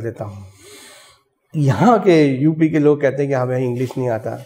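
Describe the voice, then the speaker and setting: A man speaks with a fairly high pitch and ordinary pitch variation. His tone is dark and mellow. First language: Bengali (speaking Hindi). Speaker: retired army officer and SSB assessor. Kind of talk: interview.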